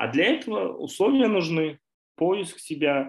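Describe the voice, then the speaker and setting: Lively intonation colors a man's speech. He talks very slowly. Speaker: education nonprofit leader. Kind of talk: interview.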